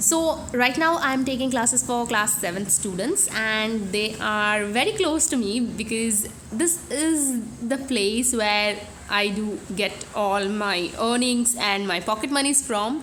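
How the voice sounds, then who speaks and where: A woman's fairly high voice in a Bengali accent at a very slow pace, with audible room echo. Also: ordinary pitch variation. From India, Bengali. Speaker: beauty vlogger. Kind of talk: casual vlog. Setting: home room.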